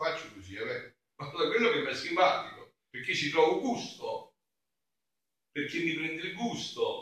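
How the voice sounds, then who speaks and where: A man at a moderate pace. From southern Italy, Campania (Avellino province). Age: 50s. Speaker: friar, preacher. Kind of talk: sermon. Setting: church during mass.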